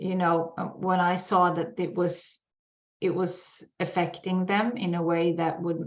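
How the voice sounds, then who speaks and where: Over audible room echo, a woman with a Swedish accent speaks at a fairly slow pace with a fairly low pitch and monotone, flat intonation. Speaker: sugar addiction expert. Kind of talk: casual interview. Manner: halting.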